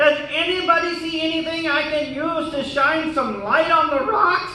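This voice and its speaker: A cartoonish character voice, high in pitch, comes with a clear echo. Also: moderate pace. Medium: puppet. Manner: hesitant, stammering.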